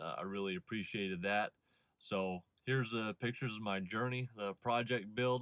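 A man at a moderate pace with ordinary pitch variation, dry sound with no echo, and a quiet background. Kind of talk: casual vlog chat. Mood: relaxed, friendly. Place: car. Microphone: phone near.

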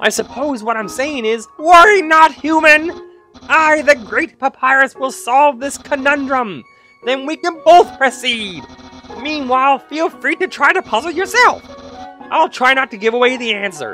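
Over faint background music, someone performs a put-on character voice at a moderate pace. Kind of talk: comic overacting. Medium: game stream. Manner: loud, theatrical, boastful, enthusiastic.

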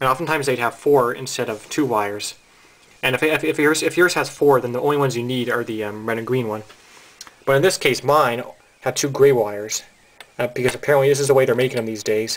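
Speaking at a very fast pace, a man keeps ordinary pitch variation. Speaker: hobbyist demonstrator. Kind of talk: tutorial. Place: home room.

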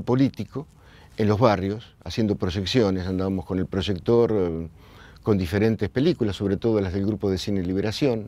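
A man talks at a moderate pace with a fairly low pitch and a dark, mellow tone. His pitch varies in an ordinary way, and the sound is dry with no echo. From Argentina, La Plata; Argentina. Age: 60s. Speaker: filmmaker. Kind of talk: oral history testimony. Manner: halting, with repetitions. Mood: reflective, calm. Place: hall. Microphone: lapel.

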